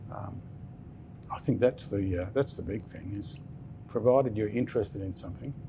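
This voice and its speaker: This man talks at a fairly quick pace. He has an Australian accent. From Western Australia. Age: 60s. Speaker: business founder. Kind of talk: interview. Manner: halting.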